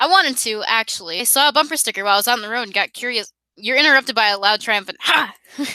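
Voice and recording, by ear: The speaker reads aloud in a natural voice. The background is quiet.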